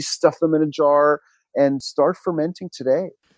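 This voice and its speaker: In an American accent, a man talks at a fairly slow pace with fairly even intonation. The background is quiet. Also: dry, close sound with no echo. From US Northeast, New York City. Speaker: author and fermentation teacher. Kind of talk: interview conversation.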